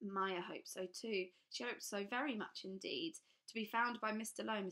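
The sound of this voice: The reading voice here is unforced.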